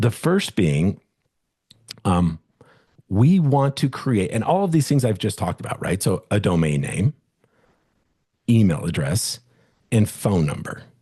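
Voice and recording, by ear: A man speaks at a fairly low pitch, his dark, mellow tone carrying a slightly husky edge, with long pauses that come often.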